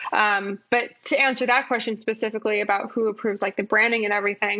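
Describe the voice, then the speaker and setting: A woman with a normal speaking voice talks at a fairly high pitch with fairly even intonation. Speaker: design executive. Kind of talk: podcast interview.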